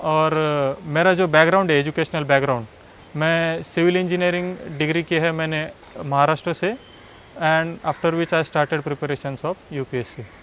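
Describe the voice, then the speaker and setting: This man has a plain, everyday voice. His pitch is fairly high and his intonation fairly even. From Maharashtra, India (Nashik district village). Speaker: civil service exam topper. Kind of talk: personal success story talk.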